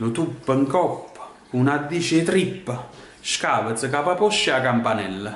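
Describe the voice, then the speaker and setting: A man with a Neapolitan accent speaks at a fairly slow pace in an intense tone and a fairly high pitch, his intonation lively, with light background noise and audible room echo. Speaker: dramatic reader. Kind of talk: poetry reading. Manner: intense, expressive. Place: home room. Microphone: webcam.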